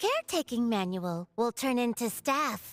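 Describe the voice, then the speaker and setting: A female-sounding voice puts on a character voice at a high pitch. The pace is moderate, with faint music in the background. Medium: video game. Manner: broken, clipped speech.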